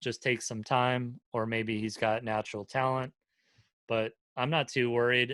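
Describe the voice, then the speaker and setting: Speaking in an American accent, a man with a medium pitch and a bright, sharp tone talks at a fairly slow pace in a monotone, flat way, with a dry, close sound and no echo. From North Carolina. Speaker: punk vocalist and record label owner. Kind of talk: casual chat.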